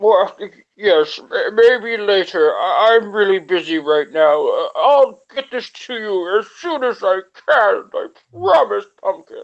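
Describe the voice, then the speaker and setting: A woman speaks at a fairly slow pace in a put-on character voice. Her pitch sits fairly high. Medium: actual play. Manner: placating, apologetic.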